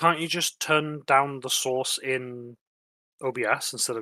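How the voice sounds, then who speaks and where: A man speaks at a medium pitch and a fairly slow pace. His tone is bright and sharp, and the sound is dry and close with no echo. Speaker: gaming stream co-player. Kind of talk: casual chat. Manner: loud.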